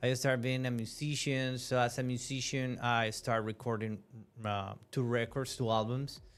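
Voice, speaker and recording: Music plays in the background as a man speaks at a moderate pace. His medium-pitched voice stays monotone and flat. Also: very even loudness. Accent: Spanish. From Venezuela. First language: Spanish. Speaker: musician and media host. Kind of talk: podcast interview. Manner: halting, many fillers.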